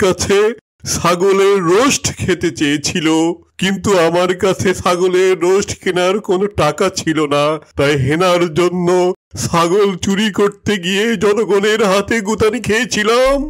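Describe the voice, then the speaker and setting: Using a cartoonish character voice, a man speaks with a high pitch at a fairly slow pace. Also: ordinary pitch variation. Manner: melodramatic, keeps saying the address for uncle.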